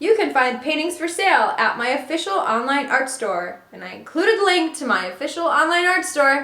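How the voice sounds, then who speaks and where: A woman's high-pitched, raised, projected voice at a fairly quick pace with hardly any pauses, very wide pitch swings and big swings in loudness, amid noticeable background noise and audible room echo. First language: Russian and Ukrainian. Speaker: artist, video creator. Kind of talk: casual vlog, reading emails aloud.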